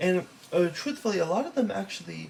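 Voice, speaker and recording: Noticeable background noise under a man's fairly quick delivery. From Los Angeles, California, with time in Taiwan. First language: Taiwanese. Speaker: student. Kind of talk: class presentation. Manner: halting, many fillers.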